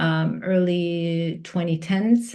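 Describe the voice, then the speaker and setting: A woman speaks in a Turkish accent at a fairly low pitch. Her intonation stays fairly even. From Turkey. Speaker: executive coach and facilitator. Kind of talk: podcast interview. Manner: halting, many fillers and restarts.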